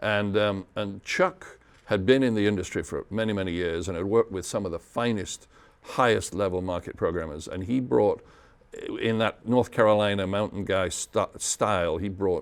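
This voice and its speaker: A man with a British accent, fairly low in pitch, at a moderate pace with ordinary pitch variation. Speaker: radio DJ. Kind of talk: interview answer.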